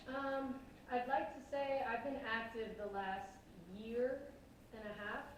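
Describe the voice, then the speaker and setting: With an American accent, a woman speaks at a fairly slow pace and fairly high pitch, fairly even in intonation and with long, frequent pauses, over noticeable background noise and audible room echo. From New York City (Bronx). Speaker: singer-songwriter. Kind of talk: casual interview. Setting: studio.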